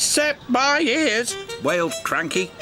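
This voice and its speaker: Music can be heard in the background. A man's speech unfolds at a very slow pace. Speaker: narrator. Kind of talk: children's TV story narration.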